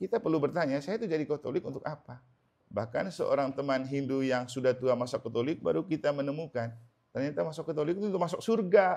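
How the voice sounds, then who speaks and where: This man talks very fast with lively intonation. His pitch sits fairly high. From Manggarai, Flores, eastern Indonesia. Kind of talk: sermon. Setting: house blessing Mass in a home. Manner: conversational.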